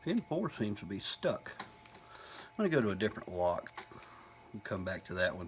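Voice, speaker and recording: A man mumbling with a Southern US accent, long and frequent pauses, and noticeable background noise. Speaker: hobbyist lock picker. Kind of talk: casual tutorial talk to camera.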